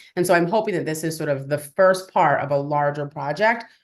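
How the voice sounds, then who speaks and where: A woman talks with ordinary pitch variation, and the background is quiet. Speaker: birth professional and researcher. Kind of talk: webinar presentation. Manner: fast; animated.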